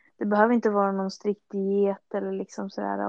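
Over a quiet background, a woman with a plain, everyday voice speaks at a medium pitch in a dry, close sound with no echo. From Stockholm, Sweden. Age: 20s. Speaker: fitness enthusiast. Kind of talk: podcast interview.

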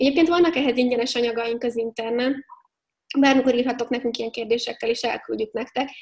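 Talking at a very fast pace, a woman keeps a high pitch and fairly even intonation. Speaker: HR expert and company founder. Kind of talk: interview.

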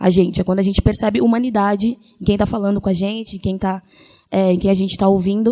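Her medium-pitched voice has a dark, mellow tone and fairly even intonation as this woman speaks at a very fast pace. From Grajaú, south São Paulo, Brazil. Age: 20s. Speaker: singer-songwriter. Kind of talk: panel talk.

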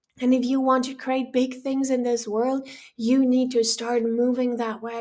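A woman's high, dark, mellow voice with a passionate, warm tone, moderate pace and monotone, flat intonation. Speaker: podcast host. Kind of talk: pep talk, motivational monologue addressed straight to the listener, urging action. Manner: passionate, emphatic and urgent, with a coaching tone and punchy repeated commands; warm, direct, encouraging, like a firm friend pushing you.

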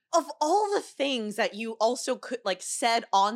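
In a very clean recording with a silent background and a dry, close sound with no echo, a woman speaks fairly slowly with lively intonation in a plain, everyday voice. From US, Chinese-American family. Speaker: improv comedian. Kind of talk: casual chat.

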